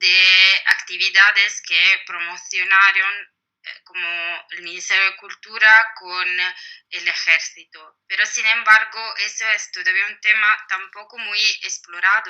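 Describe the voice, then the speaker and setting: Speaking in an Italian accent, a woman talks at medium pitch and a very slow pace with monotone, flat intonation. Her loudness swings widely. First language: Italian (speaking Spanish). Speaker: historian, book author. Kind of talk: interview. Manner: hesitant, many fillers.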